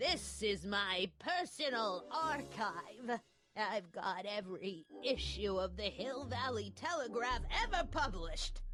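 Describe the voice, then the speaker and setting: A woman uses a put-on character voice at medium pitch. Her loudness stays very even. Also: fairly slow pace. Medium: video game. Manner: scolding, prim.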